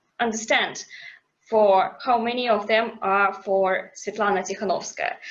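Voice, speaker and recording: A woman's fairly high voice in a non-native accent, with ordinary pitch variation. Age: 20s. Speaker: activist. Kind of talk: testimony. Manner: halting.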